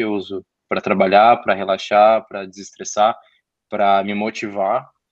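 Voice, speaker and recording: Here is a man with a São Paulo accent. His pitch is fairly low and his pace moderate. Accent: Brazilian Portuguese, São Paulo (paulistano). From São Paulo, North Zone. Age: 20s. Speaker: podcast guest, communications graduate. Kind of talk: casual interview chat about music.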